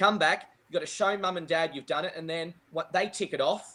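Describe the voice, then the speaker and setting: This man talks loudly and fairly quickly, with a high pitch and an Australian accent. His intonation stays fairly even. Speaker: golf professional and junior coach. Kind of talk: casual interview chat. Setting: live video podcast.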